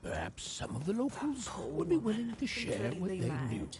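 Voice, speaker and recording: In a cartoonish character voice, a man speaks high for a man at a moderate pace, with very wide pitch swings and clear background noise behind him. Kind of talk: fairy-tale narration.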